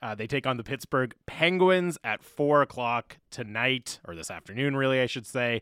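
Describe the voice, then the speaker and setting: Here is a man with an unremarkable speaking voice at medium pitch. His intonation is lively and his pace moderate. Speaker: radio host. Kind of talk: casual chat. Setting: studio. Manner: joking, banter.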